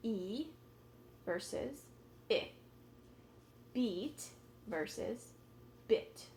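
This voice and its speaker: This is a woman's voice. She speaks with an American accent. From California. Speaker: ESL teacher. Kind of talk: tutorial.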